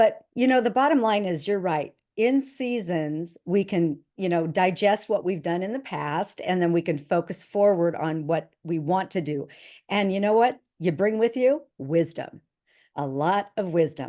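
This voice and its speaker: A plain, everyday voice: a woman at medium pitch, lively in intonation, fairly slow, against a quiet background. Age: 60s. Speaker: entrepreneur. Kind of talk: interview.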